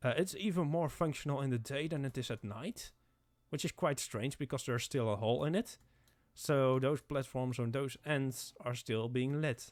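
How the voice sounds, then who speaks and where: At a medium pitch and a moderate pace, a man talks with ordinary pitch variation on a very clean recording with a silent background. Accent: non-native. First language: not English. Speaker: gaming content creator. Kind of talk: gameplay commentary. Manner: halting, many fillers and restarts.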